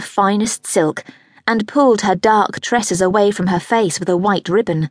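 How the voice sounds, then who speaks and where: A woman at a moderate pace and medium pitch, an unremarkable speaking voice, in a dry, close sound with no echo. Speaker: audiobook narrator. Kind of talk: dramatic audiobook narration of a historical romance, read aloud. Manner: expressive and measured, with a storyteller's flow.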